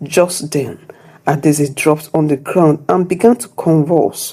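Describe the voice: A woman speaks slowly in a low voice with a dark, mellow tone. A slightly husky edge and ordinary pitch variation run through it.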